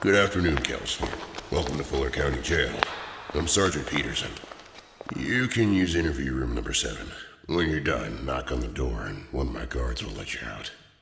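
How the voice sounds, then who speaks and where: At a fairly quick pace, a man uses a put-on character voice with a very deep, low pitch, with slight echo and clear background noise. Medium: read story. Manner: brisk, formal.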